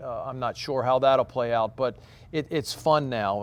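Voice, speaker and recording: This is a man with a medium-pitched voice. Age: 60s. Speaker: head golf professional. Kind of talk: casual interview. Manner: halting, many repetitions.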